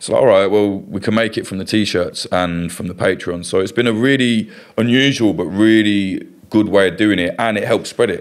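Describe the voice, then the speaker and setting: Fairly low in pitch, a man with an East Midlands accent speaks at a moderate pace with fairly even intonation. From England, East Midlands (Kettering, Northamptonshire). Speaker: journalist and documentary filmmaker. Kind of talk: casual interview chat.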